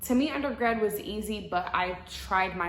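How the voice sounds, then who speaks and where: A woman with an American accent at a moderate pace, ordinary pitch variation, audible room echo and noticeable background noise. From US Midwest, Madison, Wisconsin. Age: 20s. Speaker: law student vlogger. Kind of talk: casual Q&A vlog. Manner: casual, filler-heavy (um, like).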